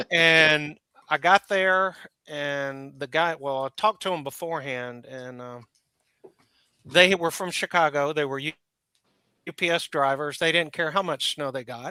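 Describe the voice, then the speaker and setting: A man with a fairly high pitch and a bright, sharp tone speaks at a fairly slow pace, with long, frequent pauses and big swings in loudness, recorded dry and close with no echo. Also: ordinary pitch variation. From Alabama. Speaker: licensed battlefield tour guide. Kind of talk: casual chat. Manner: halting.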